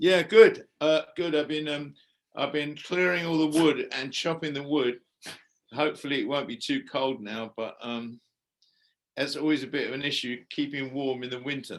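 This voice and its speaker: A man with an English accent at a moderate pace. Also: fairly high pitch for a man, ordinary pitch variation, quiet background. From England. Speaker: musician and actor. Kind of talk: interview answer.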